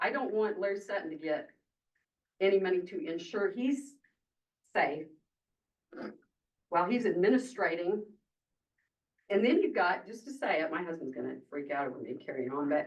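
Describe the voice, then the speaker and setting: A loud, passionate woman's voice at a moderate pace, with very wide pitch swings and long, frequent pauses. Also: medium pitch for a woman. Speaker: member of the public speaking at a county meeting. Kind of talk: public comment at a government meeting. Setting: county commissioners meeting room. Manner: passionate, emotional.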